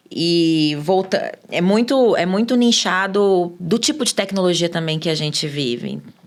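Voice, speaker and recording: In an ordinary speaking voice, a woman at medium pitch talks at a fairly slow pace with hardly any pauses and lively intonation. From Brazil, Minas Gerais. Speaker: sales expert. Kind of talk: podcast interview.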